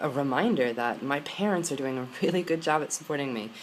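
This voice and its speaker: A man with an American accent speaks at a moderate pace, his fairly high voice carrying lively intonation. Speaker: vlogger. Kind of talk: personal vlog. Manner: halting.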